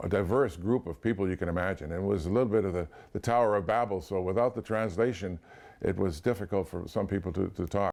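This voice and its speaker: Very fast speech in an American accent, with ordinary pitch variation and a quiet background. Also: man, fairly low pitch for a man. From California, US. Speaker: interviewee in documentary, activist. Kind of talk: interview testimony. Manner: halting, many repetitions.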